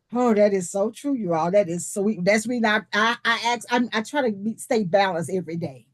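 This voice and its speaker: At a fairly quick pace with hardly any pauses, a woman speaks in a normal speaking voice at medium pitch with ordinary pitch variation. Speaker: leadership teacher. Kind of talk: online presentation.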